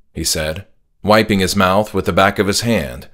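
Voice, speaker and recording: Vocal fry is heard on a very clean recording with a silent background. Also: man. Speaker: author reading own work. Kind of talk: horror story narration.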